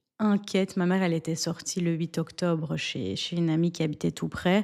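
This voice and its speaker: An ordinary speaking voice at a moderate pace with fairly even intonation, in a very clean recording with a silent background. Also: woman. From Belgium (Antwerp, Flanders). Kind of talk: interview answer.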